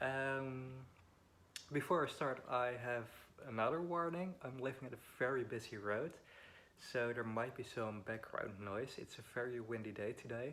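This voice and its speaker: Moderate pace with long, frequent pauses, ordinary pitch variation, and a Dutch accent. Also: man, medium pitch for a man. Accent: Dutch accent, weird pronunciation. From Netherlands. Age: 20s. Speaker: vlogger. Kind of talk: personal vlog, life story. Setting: at home. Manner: halting, many fillers.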